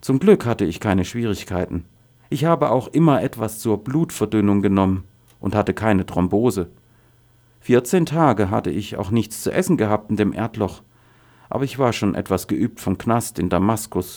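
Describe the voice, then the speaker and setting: In a very clean recording with a silent background, a man speaks at a fairly low pitch in a dark, mellow tone. His intonation is lively and his pace moderate. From Syria, Daraa region. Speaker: refugee, former university professor. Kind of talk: testimony.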